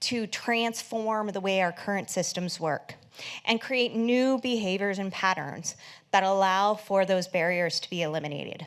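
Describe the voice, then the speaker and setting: A woman with an ordinary speaking voice talks at medium pitch with lively intonation on a very clean recording with a silent background. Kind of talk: conference presentation.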